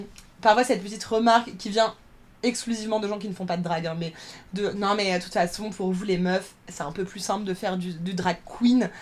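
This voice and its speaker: A woman talks at a moderate pace and a medium pitch with fairly even intonation. Her loudness swings a lot. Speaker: drag performer. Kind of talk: podcast interview.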